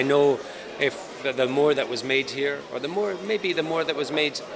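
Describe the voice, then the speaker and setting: A man of medium pitch speaks with a Scottish accent against noticeable background noise. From Scotland. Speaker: film director. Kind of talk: interview. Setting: film festival event.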